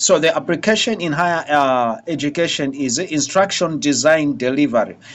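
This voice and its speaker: A man at a fairly high pitch, ordinary pitch variation and hardly any pauses. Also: moderate pace. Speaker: lecturer. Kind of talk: lecture. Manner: halting, many fillers.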